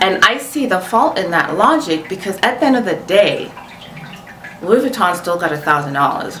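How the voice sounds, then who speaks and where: A woman with a non-native accent and an animated tone at a fairly slow pace, amid audible room echo and noticeable background noise. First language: not English. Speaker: luxury fashion vlogger. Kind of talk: casual commentary to camera.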